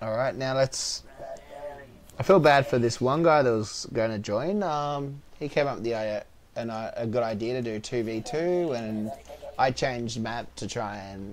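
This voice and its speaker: Moderate pace and ordinary pitch variation in a man's medium-pitched voice. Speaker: gaming streamer. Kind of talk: live gameplay commentary.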